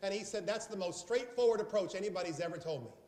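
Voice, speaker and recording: An animated man with an American accent speaks with ordinary pitch variation over noticeable background noise. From South Carolina. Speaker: sales trainer. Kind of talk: training seminar.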